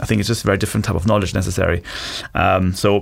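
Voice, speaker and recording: A man with a German accent speaks at a fairly low pitch with vocal fry. His pitch varies in an ordinary way. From Germany. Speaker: venture capital investor. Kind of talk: interview.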